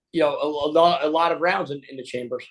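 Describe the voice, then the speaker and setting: Against a quiet background, a man with an American accent talks at a fairly quick pace with ordinary pitch variation. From New Jersey. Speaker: podcast guest, gun owner and cyclist. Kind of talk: interview. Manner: halting, many fillers.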